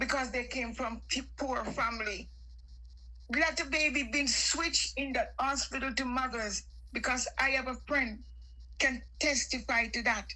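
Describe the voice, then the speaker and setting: Noticeable background noise sits under a woman talking at a fairly slow pace. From Jamaica. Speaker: caller on live stream. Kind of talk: heated political chat.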